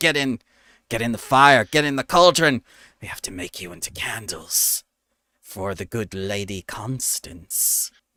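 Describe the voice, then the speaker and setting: A man's put-on character voice, gruff and medium-pitched, at a moderate pace, on a very clean recording with a silent background. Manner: menacing.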